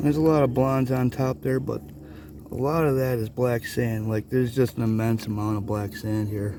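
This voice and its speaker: Against noticeable background noise, the speech moves at a moderate pace with ordinary pitch variation. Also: man, medium pitch for a man. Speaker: gold prospecting vlogger. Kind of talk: casual outdoor vlog narration. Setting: outdoors by a river.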